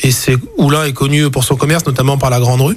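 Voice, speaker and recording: Fairly even intonation from a man at a moderate pace, over noticeable background noise. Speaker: optician and business owner. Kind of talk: radio interview. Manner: hesitant, many fillers.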